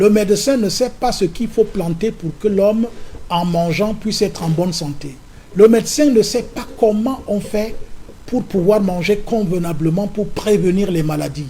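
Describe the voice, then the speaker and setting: This man has a high pitch with ordinary pitch variation and talks at a fairly slow pace. Noticeable background noise runs underneath. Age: 70s. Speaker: opposition politician. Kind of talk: political interview.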